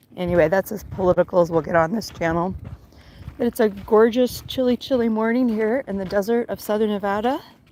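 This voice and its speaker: A dark, mellow tone at a fairly quick pace, with ordinary pitch variation. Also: woman, medium pitch for a woman. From Alaska. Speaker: gardening channel host, livestreamer. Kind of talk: casual live-stream chat. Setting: outdoors on a walk, live stream.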